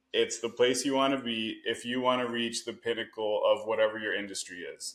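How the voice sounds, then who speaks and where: A plain, everyday voice with a Canadian accent. It moves at a moderate pace. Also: man. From Canada. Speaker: real estate investor. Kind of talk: podcast interview. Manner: filler-heavy, conversational.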